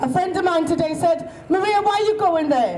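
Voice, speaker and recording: A woman with a Welsh accent speaks with lively intonation. Audible room echo and noticeable background noise surround her voice. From Wales. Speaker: protest speaker. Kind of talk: protest speech.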